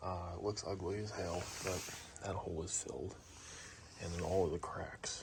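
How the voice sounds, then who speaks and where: Fairly quick speech with fairly even intonation and noticeable background noise. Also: man. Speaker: car hobbyist YouTuber. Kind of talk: casual tutorial vlog. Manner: whispering.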